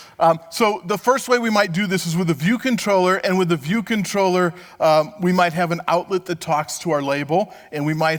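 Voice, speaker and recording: A man at a high pitch and moderate pace, with ordinary pitch variation and music in the background. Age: 60s. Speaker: conference speaker. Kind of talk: tech conference talk. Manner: conversational, with fillers.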